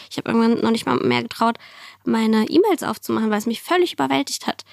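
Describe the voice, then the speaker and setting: Here a woman talks at a very fast pace with a fairly high pitch. The sound is dry and close, without echo. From former Soviet Union, raised in Germany from age 5-6. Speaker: entrepreneur and climate activist. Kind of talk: interview.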